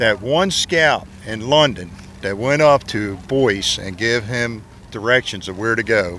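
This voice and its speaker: A man talks at a fairly slow pace in a medium pitch with ordinary pitch variation, an ordinary speaking voice. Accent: American. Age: 60s. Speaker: scoutmaster. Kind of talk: casual interview. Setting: outdoors at historic fort.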